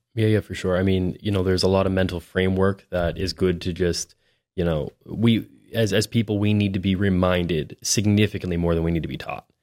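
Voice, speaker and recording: A man with a Maritime Canadian accent, very deep and low in pitch, fairly quick with fairly even intonation, in a dry, close sound with no echo and a very clean recording over a silent background. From New Brunswick, Canada. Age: 20s. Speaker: realtor. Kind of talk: casual interview.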